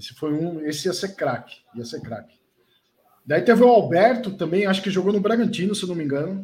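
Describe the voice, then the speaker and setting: A man's high-pitched voice at a fairly quick pace, with lively intonation and big swings in loudness. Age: 40s. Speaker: regional football reporter. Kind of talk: casual chat.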